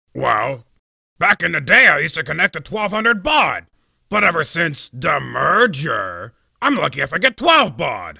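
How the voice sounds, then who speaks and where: A man's cartoonish character voice, high-pitched and angry in tone, at a moderate pace. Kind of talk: fan voice-over of a web cartoon. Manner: sarcastic, blustering, angry.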